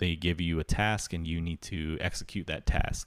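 The recording is very clean and the background silent. At a moderate pace, a man talks. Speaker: podcast host learning to code. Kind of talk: casual solo podcast monologue. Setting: live stream on Twitch. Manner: lots of filler words, halting.

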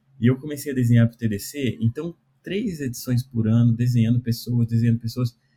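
The sound is dry and close with no echo as a man talks at a fairly quick pace. His voice is somewhat breathy with a dark, mellow tone, medium pitch, and fairly even intonation. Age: 40s. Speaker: cartoonist and programming teacher. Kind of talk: casual interview.

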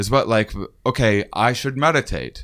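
Recorded very cleanly over a silent background, a man uses a normal speaking voice. He talks at medium pitch and a moderate pace. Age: 30s. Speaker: podcast host. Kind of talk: casual interview. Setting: on location at a university.

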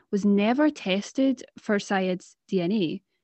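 A woman speaks in a Scottish accent. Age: 20s. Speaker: podcast co-host, university student. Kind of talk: casual chat.

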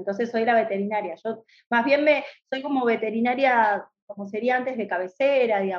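At a moderate pace, a woman speaks in a fairly high pitch with a Rioplatense accent. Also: ordinary pitch variation. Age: 40s. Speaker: veterinarian and university lecturer. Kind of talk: casual interview.

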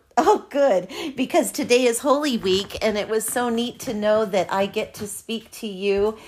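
A woman's plain, everyday voice, fairly high in pitch, at a fairly slow pace. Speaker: podcast host. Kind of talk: casual interview chat. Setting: remote recording, audio call.

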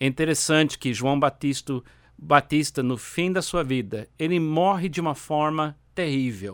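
This man speaks at a fairly slow pace in a fairly high pitch with ordinary pitch variation, on a very clean recording with a silent background. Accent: English. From United States. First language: English (speaking Portuguese). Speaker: pastor. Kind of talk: sermon.

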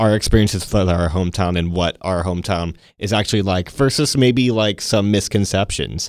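In a very clean recording with a silent background, a man with a fairly low pitch and ordinary pitch variation talks at a fairly quick pace with hardly any pauses. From Texas (Temple). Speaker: podcast host. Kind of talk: casual chat. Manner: enunciating carefully.

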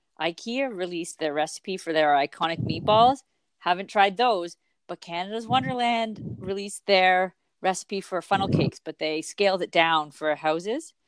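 With a normal speaking voice, a woman talks at a moderate pace at a medium pitch with lively intonation, the sound dry and close with no echo. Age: 40s. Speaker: podcast co-host, small business owner. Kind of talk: casual chat.

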